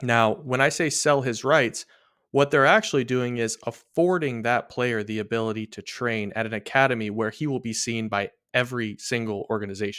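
A man with an ordinary speaking voice talks at a moderate pace and medium pitch, with ordinary pitch variation. The recording is very clean, with a silent background. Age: 30s. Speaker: baseball prospect analyst. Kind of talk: casual chat.

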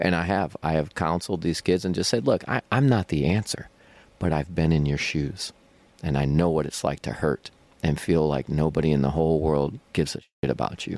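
Noticeable background noise runs under the recording. A man talks in a very deep, low pitch. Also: ordinary pitch variation, fairly quick pace. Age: 40s. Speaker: metal tribute band singer and guitarist. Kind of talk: casual interview. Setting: backstage at music venue.

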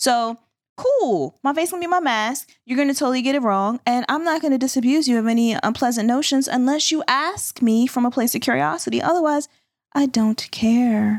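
Her pace is fairly quick and her loudness very even. The woman has a high pitch with ordinary pitch variation. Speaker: confidence coach and podcast co-host. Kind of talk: casual panel discussion.

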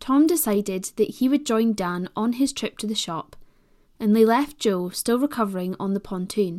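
Lively in intonation, a woman with a British accent speaks at a moderate pace and a fairly high pitch on a very clean recording with a silent background. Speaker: podcast host. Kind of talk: scripted true-crime narration. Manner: measured, serious; formal, even-paced.

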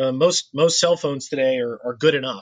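Dry and close with no echo, the recording carries a normal speaking voice with ordinary pitch variation. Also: man. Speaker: model show organizer. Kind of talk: casual podcast segment.

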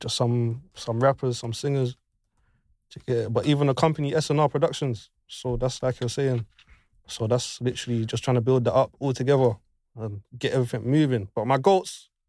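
A man with a London accent, a dark, mellow tone, medium pitch, moderate pace and fairly even intonation, in a very clean recording with a silent background and a dry, close sound with no echo. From West London. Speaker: sound engineer. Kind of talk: casual chat.

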